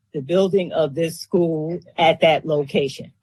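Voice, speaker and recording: A fairly slow female voice with ordinary pitch variation. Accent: New York. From New York. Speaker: resident giving testimony. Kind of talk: public testimony.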